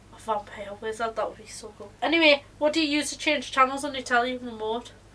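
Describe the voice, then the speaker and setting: A woman's raised, projected voice, high-pitched, bright, and sharp, at a fairly quick pace. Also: big swings in loudness. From northeast England, Northumberland. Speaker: podcast co-host. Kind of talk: casual chat.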